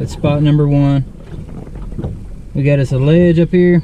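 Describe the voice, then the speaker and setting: The sound is dry with no echo, with noticeable background noise behind it. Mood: relaxed, playful. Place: boat. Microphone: phone near.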